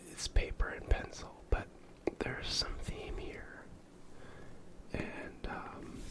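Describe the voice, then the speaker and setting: Whispered words come very slowly, broken by long, frequent pauses, over noticeable background noise. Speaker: board game reviewer. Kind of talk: ASMR board game review. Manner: soft-spoken, whispered.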